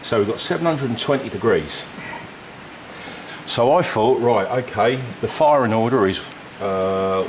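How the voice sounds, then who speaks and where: A man speaks at a fairly slow pace. Noticeable background noise sits behind him. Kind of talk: tutorial explanation. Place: garage. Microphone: phone near.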